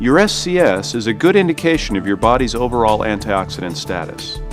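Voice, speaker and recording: Over music in the background, a man with a medium pitch talks at a fairly quick pace, his voice making very wide pitch swings. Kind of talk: corporate promotional narration.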